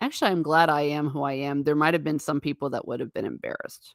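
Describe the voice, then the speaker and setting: A woman with an American accent speaks in an animated tone at a very deep, low pitch. The recording is very clean, with a silent background. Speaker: livestream host. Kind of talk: casual chat reading live comments.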